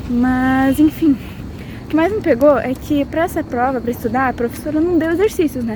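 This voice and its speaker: Over noticeable background noise, a woman talks at a moderate pace in a high voice with ordinary pitch variation. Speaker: pharmacy student vlogger. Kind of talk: vlog monologue.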